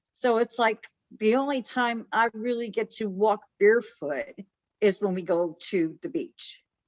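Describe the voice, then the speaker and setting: With an American accent and a normal speaking voice, a woman speaks fairly slowly at a fairly high pitch with lively intonation. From Chicago. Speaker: podcast co-host. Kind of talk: casual chat.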